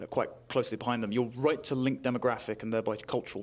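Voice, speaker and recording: In a British accent, the speech runs at a very fast pace with fairly even intonation. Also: man. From Britain. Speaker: political commentator. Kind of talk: interview. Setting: conference.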